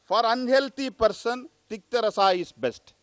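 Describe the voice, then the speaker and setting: A loud man talks at a moderate pace with lively intonation, the sound dry and close with no echo. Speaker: Ayurvedic doctor, conference speaker. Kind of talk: lecture. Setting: conference hall.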